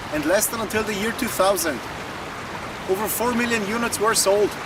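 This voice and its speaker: Fairly quick speech in a non-native accent with ordinary pitch variation and noticeable background noise. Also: man. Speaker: car video presenter. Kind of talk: presentation to camera. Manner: formal.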